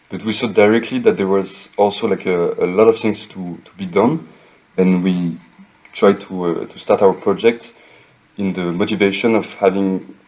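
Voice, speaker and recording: A man with a French accent speaks at a moderate pace in a fairly low pitch. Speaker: architect and NFT project co-founder. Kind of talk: interview. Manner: hesitant, many fillers.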